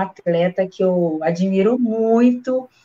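A woman's plain, everyday voice at a medium pitch, with ordinary pitch variation. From Brazil, Minas Gerais. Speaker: bank employee and amateur runner. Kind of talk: casual chat. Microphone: unstable connection.

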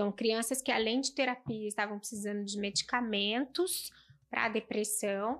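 A woman talks at a moderate pace in a plain, everyday voice, fairly high with ordinary pitch variation. The recording is very clean, with a silent background. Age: 40s. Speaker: pediatrician. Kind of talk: casual chat.

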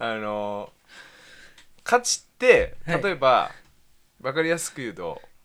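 The speech comes at a fairly slow pace, broken by long, frequent pauses and big swings in loudness. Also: man. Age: 20s. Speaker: podcast co-host. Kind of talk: casual chat.

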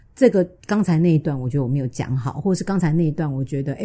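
Somewhat breathy and dark, mellow in tone, a woman's voice swings very widely in pitch. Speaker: sex and relationships podcast host, author. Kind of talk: casual chat.

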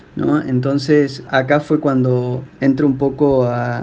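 A man's medium-pitched voice with a flat, monotone delivery. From Argentina, Río Negro. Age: 30s. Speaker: interviewee sharing faith story. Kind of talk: personal testimony. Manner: hesitant, with fillers.

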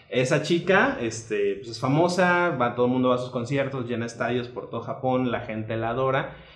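A man at a medium pitch talks at a fairly quick pace with ordinary pitch variation. The room echo is audible and background noise is noticeable. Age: 30s. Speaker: lawyer, anime fan. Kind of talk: casual chat.

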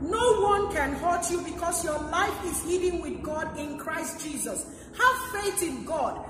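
A woman speaks fairly slowly at an extremely high pitch with ordinary pitch variation, against noticeable background noise and audible room echo. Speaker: pastor. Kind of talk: sermon.

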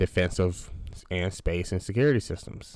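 This man's pitch is very deep and low. The recording is very clean, with a silent background. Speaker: finance podcast host. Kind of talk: solo educational podcast monologue. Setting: home computer recording. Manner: slow, halting with many fillers; casual, conversational.

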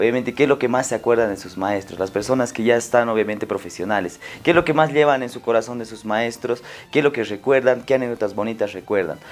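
Talking at a very fast pace, a man shows big swings in loudness, a medium pitch, and ordinary pitch variation. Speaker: podcast host. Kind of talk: casual interview.

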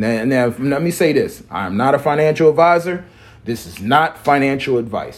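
With lively intonation and a moderate pace, a man speaks in a plain, everyday voice that is fairly high in pitch, on a very clean recording with a silent background. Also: big swings in loudness. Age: 40s. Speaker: crypto podcast host. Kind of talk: solo monologue show. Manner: rambling, filler-heavy.

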